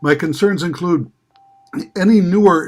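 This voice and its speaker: In a very clean recording with a silent background, a man speaks with an Upper Midwest US accent. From northeastern Wisconsin. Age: 70s. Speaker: member of the public giving testimony. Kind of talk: public hearing testimony. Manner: formal.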